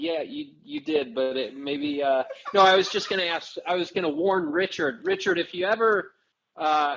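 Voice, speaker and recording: Over music in the background, a man with an American accent speaks at a high pitch. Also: lively intonation, moderate pace. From Missouri, St. Louis. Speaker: actor. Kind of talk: casual chat.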